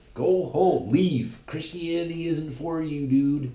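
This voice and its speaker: A man speaks in an animated tone, with audible room echo around his voice. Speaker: podcast host. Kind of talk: casual monologue. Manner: halting, many repetitions.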